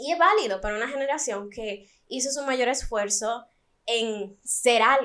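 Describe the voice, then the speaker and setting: A woman speaks at a fairly slow pace in a high pitch, with a bright, sharp tone and ordinary pitch variation. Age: 20s. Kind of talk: monologue intro; casual chat.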